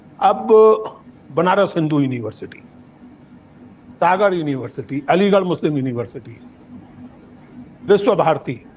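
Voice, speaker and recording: Over noticeable background noise, a man with a fairly high pitch talks with lively intonation and long, frequent pauses. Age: 70s. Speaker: public intellectual, lecturer. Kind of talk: public lecture. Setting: stage with audience. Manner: formal.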